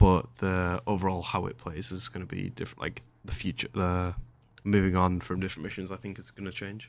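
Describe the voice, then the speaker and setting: Over a very clean recording with a silent background, a man with an English accent and a very deep, low pitch talks at a fairly quick pace with fairly even intonation and big swings in loudness. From England. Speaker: gaming youtuber. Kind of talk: gameplay commentary. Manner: casual, rambling with filler words.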